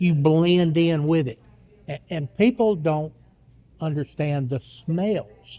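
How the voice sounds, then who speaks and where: A man talks at a very slow pace with a fairly high pitch. His tone is dark and mellow, with ordinary pitch variation. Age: 60s. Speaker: author. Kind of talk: casual chat. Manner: halting.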